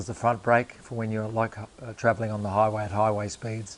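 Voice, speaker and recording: With an Australian accent, the man talks fairly quickly. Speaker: motorcycle restoration YouTuber. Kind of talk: workshop tutorial. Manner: casual.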